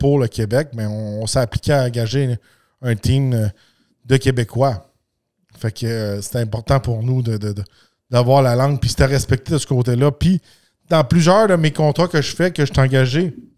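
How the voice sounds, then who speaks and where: Speaking with a Quebec accent, a man talks fairly slowly at a medium pitch, leaving long, frequent pauses while his loudness swings widely, in a dry, close sound with no echo. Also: very clean recording, silent background. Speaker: podcast host. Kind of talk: casual podcast monologue. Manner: halting, many fillers and repetitions.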